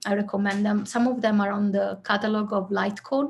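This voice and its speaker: A woman speaks with an Italian accent at a medium pitch and moderate pace. Her voice is somewhat breathy, with fairly even intonation. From southern Italy. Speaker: filmmaker. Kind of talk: interview.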